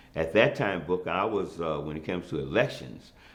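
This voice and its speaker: A man speaks at a moderate pace with ordinary pitch variation. Room echo is audible. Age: 60s. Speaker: former city councilman. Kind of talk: interview. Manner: hesitant with many fillers.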